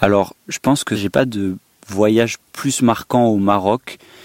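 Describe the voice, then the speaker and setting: A man speaks in a normal speaking voice at fairly low pitch. His pace is fairly slow and his intonation fairly even. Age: 20s. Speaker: vanlifer. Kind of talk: interview.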